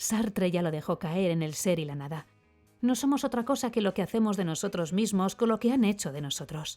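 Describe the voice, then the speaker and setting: A woman with a Castilian accent talks at a fairly quick pace with lively intonation. Music plays in the background. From Spain. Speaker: voice actor. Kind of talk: opinion column read aloud. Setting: home studio.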